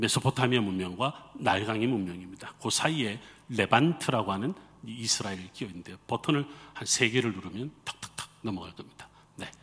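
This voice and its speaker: Loudness swings widely as the speaker talks at a fairly quick pace with lively intonation over noticeable background noise. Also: man, medium pitch for a man. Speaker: guest Bible lecturer. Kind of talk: lecture.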